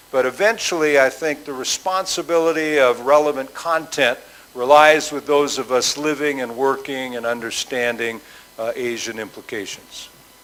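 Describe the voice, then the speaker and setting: Over noticeable background noise, a man with a fairly high voice talks with ordinary pitch variation. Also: moderate pace. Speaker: business school president. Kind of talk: conference talk. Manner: hesitant with fillers.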